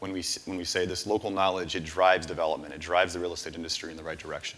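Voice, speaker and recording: A man at a very fast pace with hardly any pauses, very deep and low in pitch, fairly even intonation, big swings in loudness, and noticeable background noise. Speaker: startup founder pitching. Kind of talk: pitch presentation.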